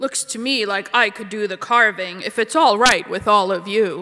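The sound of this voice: This gravelly, put-on character voice sits at a fairly high pitch and moves at a moderate pace.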